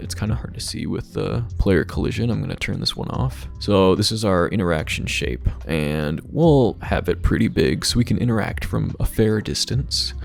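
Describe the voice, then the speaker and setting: Over noticeable background noise, a man with a very deep, low pitch talks at a moderate pace with very wide pitch swings and hardly any pauses. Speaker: game development tutorial creator. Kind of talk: screen-recorded coding tutorial. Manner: casual.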